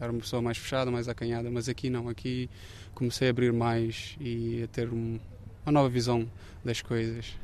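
At a moderate pace, a man speaks at a medium pitch in a monotone, flat intonation. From Cape Verde. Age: 30s. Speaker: architecture student and photographer. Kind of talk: interview. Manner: hesitant, with frequent fillers.

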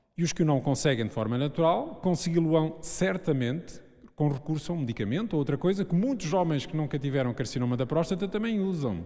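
At a fairly quick pace, a man with a fairly high pitch and a dark, mellow tone speaks with ordinary pitch variation. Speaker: urologist. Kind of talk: public panel discussion. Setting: stage with audience.

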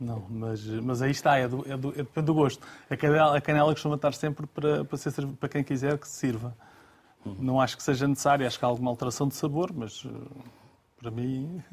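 A man with a fairly high, somewhat breathy voice talks at a fairly quick pace with fairly even intonation. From Lisbon, Portugal. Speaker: pastry shop owner. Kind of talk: casual chat. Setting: studio.

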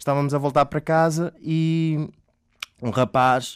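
A man talks at a fairly slow pace. The recording is very clean, with a silent background. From Mozambique, then Portugal from age 8. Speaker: actor. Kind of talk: interview storytelling. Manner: halting.

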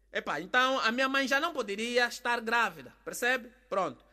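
A man speaks in a raised, projected voice with an extremely high pitch and a bright, sharp tone. His intonation is lively and his pace moderate. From Angola. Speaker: comedian. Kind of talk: comedic storytelling.

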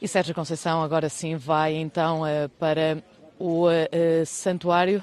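Here is a woman with a fairly low pitch. Her intonation is monotone and flat. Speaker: TV reporter. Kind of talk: live field report. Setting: outdoors at a sanctuary with crowd.

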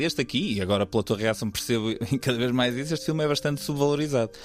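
A man talks very fast at a medium pitch. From northern Portugal, Vila Nova de Gaia. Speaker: podcast host, film critic. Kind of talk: casual chat.

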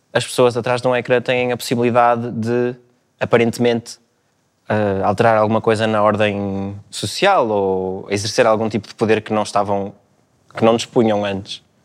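At a moderate pace, a man speaks at a medium pitch in a monotone with flat intonation. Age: 20s. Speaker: philosophy student. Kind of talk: panel discussion. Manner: halting.

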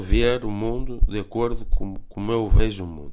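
This man has an unremarkable speaking voice, pitched fairly low. His intonation stays fairly even. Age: 40s. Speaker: film director. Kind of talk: radio interview. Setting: remote call.

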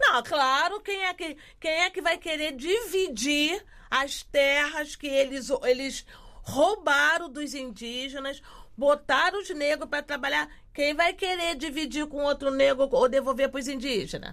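A raised, projected voice with a bright, sharp tone carries ordinary pitch variation. It moves at a fairly slow pace. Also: woman, high pitch for a woman. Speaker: quilombola community activist. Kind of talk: casual interview conversation.

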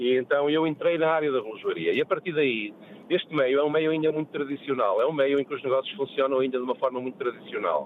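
Very fast and fairly high for a man, this speaker's voice keeps fairly even intonation while noticeable background noise plays under it. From Porto, northern Portugal. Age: 50s. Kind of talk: radio call-in chat. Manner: halting, with repetitions.

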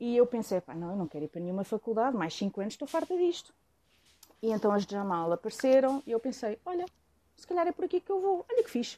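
A woman with a Lisbon accent speaks at a very fast pace, her fairly high pitch making very wide swings. Her tone is dark and mellow, with big swings in loudness. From Lisbon, Portugal. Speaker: former hip-hop artist. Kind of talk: casual chat.

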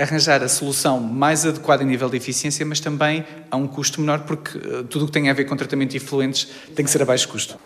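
Very fast speech from a man with a fairly high pitch and monotone, flat intonation, over noticeable background noise. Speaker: chemical engineering researcher. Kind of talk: interview. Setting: university laboratory.

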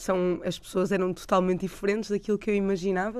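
The woman's pitch is medium. She talks at a fairly quick pace. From Portugal (moved from Peru as small child), Porto. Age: young. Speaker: doctor, humanitarian volunteer. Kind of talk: radio interview. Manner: hesitant, repeats words.

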